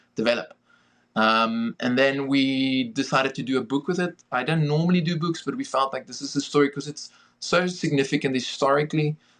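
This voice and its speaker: Speaking with a South African accent, the man has a fairly high pitch, ordinary pitch variation and a fairly quick pace. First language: Afrikaans. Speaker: film director and producer. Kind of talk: podcast interview.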